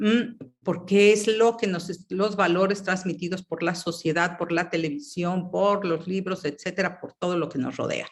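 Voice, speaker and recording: Fairly slow speech with hardly any pauses. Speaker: workshop facilitator. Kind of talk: online class.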